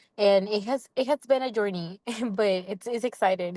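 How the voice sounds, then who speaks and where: In a strong non-native accent, a woman speaks at a moderate pace and medium pitch with fairly even intonation, the sound dry and close with no echo against a quiet background. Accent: non-native English accent, still thick. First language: not English. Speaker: student fellow. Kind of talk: casual workshop discussion.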